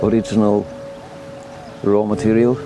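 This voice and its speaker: Over music in the background, the speaker talks at a fairly slow pace in a Norwegian accent. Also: man. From Norway. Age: 70s. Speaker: retiree living abroad. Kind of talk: interview testimony. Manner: hesitant, with fillers.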